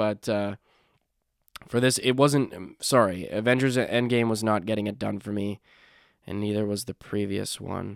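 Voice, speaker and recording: The recording is very clean with a silent background, and the speech moves at a moderate pace with fairly even intonation and long, frequent pauses. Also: man, fairly low pitch for a man. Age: young. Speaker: podcast host. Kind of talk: casual monologue. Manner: halting, many fillers.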